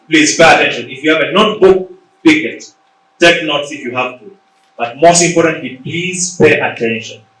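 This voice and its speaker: A man with a Ugandan accent talks at a moderate pace in a fairly high pitch, his pitch moving in an ordinary way while his loudness swings widely, with audible room echo around him. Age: 40s. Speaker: leadership coach and author. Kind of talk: motivational talk. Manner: animated.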